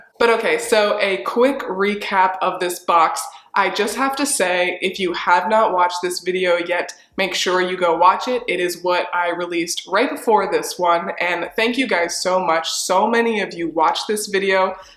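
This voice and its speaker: A woman with a medium pitch speaks in an animated tone with ordinary pitch variation. Noticeable background noise and audible room echo surround her. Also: moderate pace, hardly any pauses. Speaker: fashion reseller vlogger. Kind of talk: casual haul review vlog. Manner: chatty, animated.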